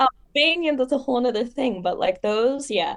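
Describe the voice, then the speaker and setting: This is a woman speaking. She goes at a fairly quick pace. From Los Angeles, US. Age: 20s. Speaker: public relations worker. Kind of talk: podcast interview. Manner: soothing cadence; casual, many fillers.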